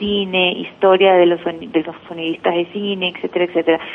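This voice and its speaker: Over noticeable background noise, a woman speaks at a medium pitch with a monotone, flat intonation. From Ecuador, Guayaquil. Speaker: journalist. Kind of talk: interview.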